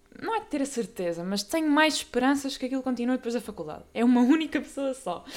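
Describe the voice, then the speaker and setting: A woman talks at a very fast pace with hardly any pauses. Her pitch is high, and there is noticeable background noise. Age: young. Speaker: podcast host. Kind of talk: casual monologue. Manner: casual, filler-heavy.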